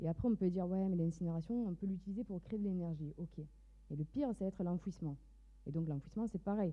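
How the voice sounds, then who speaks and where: The woman's pitch is fairly low, with ordinary variation. She talks at a fairly quick pace. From southern France, Mediterranean coast. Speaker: entrepreneur, fashion designer. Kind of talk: startup pitch.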